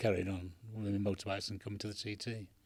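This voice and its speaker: Somewhat breathy, a man speaks at a very fast pace in a fairly low pitch. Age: 80s+. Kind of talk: interview answer.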